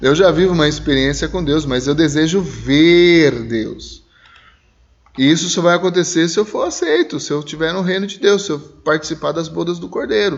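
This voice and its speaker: A man speaks with ordinary pitch variation. He leaves long, frequent pauses. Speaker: Sunday school Bible teacher. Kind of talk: Bible school lesson discussion. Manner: slow, emotional delivery.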